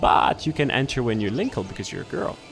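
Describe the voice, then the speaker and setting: With music in the background, a man with a non-native accent speaks at a medium pitch. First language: not English. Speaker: gaming youtuber. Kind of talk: gameplay commentary. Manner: halting.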